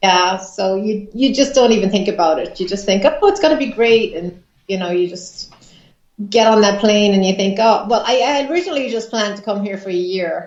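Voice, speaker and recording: Fairly quick speech from a woman, ordinary in its pitch variation. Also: medium pitch for a woman. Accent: Irish. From Ireland. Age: 40s. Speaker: psychic medium. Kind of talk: interview. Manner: hesitant, many fillers.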